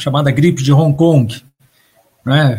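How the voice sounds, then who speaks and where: Fairly high-pitched, somewhat breathy male voice. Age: 60s. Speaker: history professor. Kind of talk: interview on environmental collapse.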